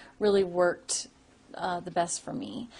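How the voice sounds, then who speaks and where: A woman's medium-pitched, somewhat breathy voice at a moderate pace, flat and monotone. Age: young. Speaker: person who stutters giving a testimonial. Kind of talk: testimony. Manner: stuttering with repetitions; hesitant, many fillers.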